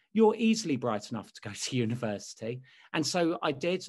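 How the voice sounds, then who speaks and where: A man speaks with a London accent. The background is quiet. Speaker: speechwriter; lecturer. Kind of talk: interview. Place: home room. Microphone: webcam.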